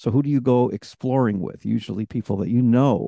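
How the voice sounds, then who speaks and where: A man with an American accent talks at a moderate pace and medium pitch, his dark, mellow tone and fairly even intonation caught in a dry, close sound with no echo. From Rochester, New York. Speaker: podcast host and coach. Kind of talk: casual interview conversation. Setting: remote recording call. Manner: extroverted, chatty.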